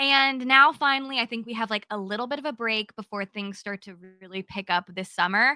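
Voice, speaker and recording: A woman with a bright, sharp, animated and energetic tone talks at a fairly quick pace, at a fairly high pitch with ordinary pitch variation and big swings in loudness. The recording is very clean and dry, close with no echo, over a silent background. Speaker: cozy gaming content creator. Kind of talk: casual podcast chat. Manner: loud, energetic.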